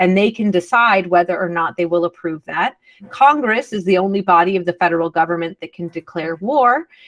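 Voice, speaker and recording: Someone talks at a fairly quick pace with an American accent and ordinary pitch variation. The sound is dry and close, with no echo. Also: woman, medium pitch for a woman. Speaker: science policy fellow and entomologist. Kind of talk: lecture. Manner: fast.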